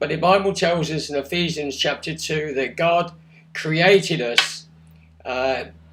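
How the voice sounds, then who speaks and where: With an English accent, this voice shows ordinary pitch variation. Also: man. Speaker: pastor. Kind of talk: short talk to camera. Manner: halting.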